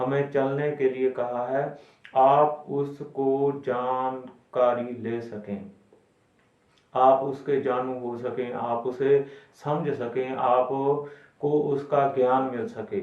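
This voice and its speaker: Medium-pitched man with a Punjabi accent, fairly even intonation, and audible room echo. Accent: Punjabi-accented Hindi. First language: Punjabi (speaking Hindi). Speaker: Sikh religious explainer. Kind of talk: religious explainer talk. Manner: halting.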